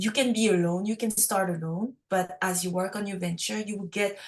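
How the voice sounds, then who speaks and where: At a moderate pace, a woman with a French accent speaks at a medium pitch with fairly even intonation. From Quebec, Montreal. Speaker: food startup founder. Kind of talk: podcast interview.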